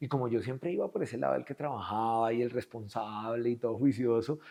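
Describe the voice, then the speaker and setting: A man speaks with a Colombian accent. The background is quiet. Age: 40s. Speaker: business executive. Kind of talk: interview. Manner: animated.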